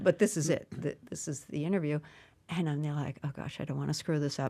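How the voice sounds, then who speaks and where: Over a very clean recording with a silent background, a woman with an American accent speaks at a fairly quick pace. Her pitch is very deep and low, her intonation fairly even, and her tone dark and mellow. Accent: Boston accent, comes out when emotional. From Massachusetts (Brockton, near Boston). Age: 70s. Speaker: stand-up comedian. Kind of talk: interview conversation. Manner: halting, with frequent restarts.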